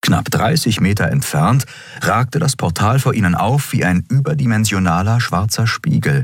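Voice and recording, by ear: The reader's natural voice carries lively intonation while reading aloud.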